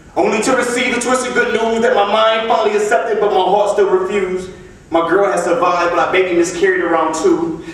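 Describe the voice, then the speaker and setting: Talking very fast, a man speaks in a high voice with ordinary pitch variation and very even loudness. Noticeable background noise is present. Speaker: slam poet. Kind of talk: spoken word poetry performance. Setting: live stage with audience.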